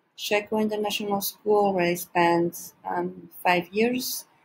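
A somewhat breathy woman's voice over light background noise. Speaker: teacher presenter. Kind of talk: presentation talk. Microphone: webcam.

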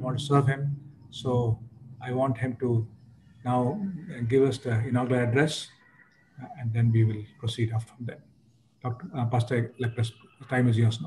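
There is light background noise as a man speaks at a moderate pace. His intonation is fairly even, with long, frequent pauses. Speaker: host of an online church conference. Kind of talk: formal introduction of a guest. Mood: warm, respectful. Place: home room. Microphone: video call.

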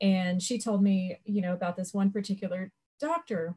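A woman talks at a moderate pace in a dark, mellow, somewhat breathy tone. Her intonation is fairly even, and the background is quiet. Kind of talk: panel discussion answer. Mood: earnest, grateful. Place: home room. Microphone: video call.

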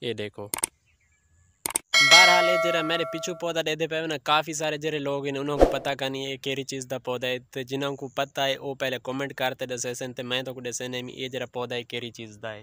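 The voice moves at a fairly quick pace with little pitch movement. Its tone is bright and sharp, as well as clear and smooth. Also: man, medium pitch for a man.

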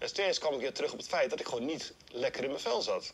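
A man talks fairly quickly while light background noise sounds behind him. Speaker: running workshop instructor. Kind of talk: interview answer. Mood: reflective, personal confession. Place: forest. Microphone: lapel.

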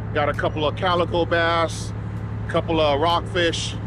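A man talks at a moderate pace. Noticeable background noise runs under his voice. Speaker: fishing vlogger. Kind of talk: casual vlog chat. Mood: happy, upbeat. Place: boat. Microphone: phone near.

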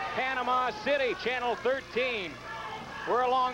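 Music plays behind a man speaking at an extremely high pitch. His voice is raised and projected. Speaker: wrestling announcer. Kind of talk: 1980s wrestling commentary, live play-by-play.

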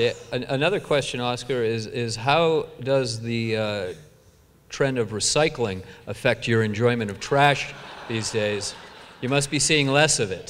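Over light background noise, a man with a plain, everyday voice speaks at a fairly slow pace in a medium pitch with ordinary pitch variation. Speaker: event moderator. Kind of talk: onstage interview. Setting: stage with audience. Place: stage. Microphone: handheld.

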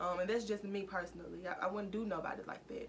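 The speaker has an American accent and talks at a very fast pace. Light background noise can be heard. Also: woman. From US South, Mississippi. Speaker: YouTuber. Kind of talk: casual vlog talk. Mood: earnest, serious. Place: home room. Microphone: phone near.

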